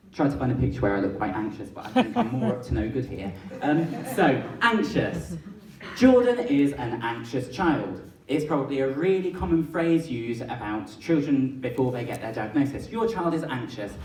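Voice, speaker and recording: Audible room echo colors a man's voice. Noticeable background noise is also present. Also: medium pitch for a man, lively intonation, moderate pace. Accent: English. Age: 20s. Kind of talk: public talk.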